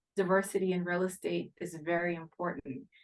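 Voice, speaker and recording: A woman talks at a medium pitch with an American accent. She has a normal speaking voice. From Haiti and US. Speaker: real estate investment executive. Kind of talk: podcast interview.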